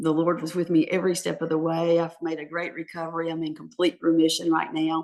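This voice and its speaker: A woman at a fairly low pitch, very fast and with hardly any pauses, in a monotone, flat intonation. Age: 60s. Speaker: author. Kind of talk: interview. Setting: podcast.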